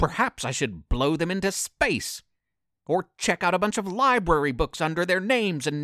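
Plain reading aloud with lively intonation against a quiet background.

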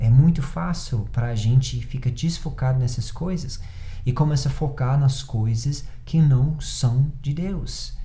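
An audible room echo surrounds a man's voice of medium pitch. His tone is dark and mellow, and somewhat breathy. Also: ordinary pitch variation, fairly slow pace. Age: 30s. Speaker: pastor. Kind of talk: sermon.

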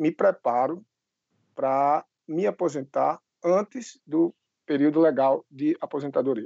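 This man has a plain, everyday voice, a fairly high pitch, and a fairly slow pace. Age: 30s. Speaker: financial educator and civil servant. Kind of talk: interview.

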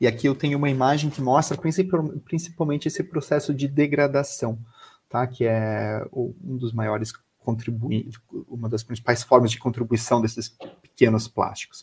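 A somewhat breathy man at a medium pitch and moderate pace, with ordinary pitch variation. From Brazil, Florianópolis (Santa Catarina). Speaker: biologist and researcher. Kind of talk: educational talk. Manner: hesitant, with repeated words.

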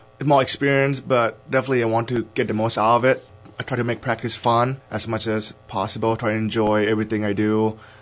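Over background music, a man with an American accent talks at a very fast pace. His medium-pitched voice stays monotone and flat. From Idaho. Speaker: college football player. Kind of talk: interview.

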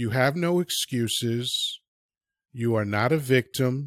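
An unremarkable speaking voice at a fairly slow pace, with ordinary pitch variation and a dry, close sound with no echo, in a very clean recording with a silent background. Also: man. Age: 50s. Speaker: addiction recovery speaker. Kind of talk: interview.

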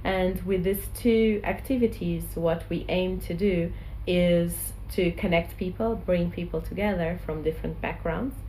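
Her speech is fairly slow with hardly any pauses, as the woman's voice carries audible room echo. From Portugal. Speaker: social enterprise co-founder. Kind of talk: interview.

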